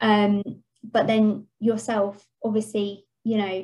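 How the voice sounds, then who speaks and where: A woman with an English accent speaks at a fairly slow pace in a somewhat breathy voice with a fairly high pitch. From England. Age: 30s. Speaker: podcast co-host. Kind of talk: casual chat.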